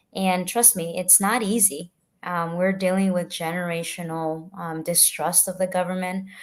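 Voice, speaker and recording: In a Spanish accent, a woman with a fairly low pitch speaks at a moderate pace in a monotone, flat intonation on a very clean recording with a silent background. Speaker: political candidate. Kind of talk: panel interview answer. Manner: halting, frequent fillers.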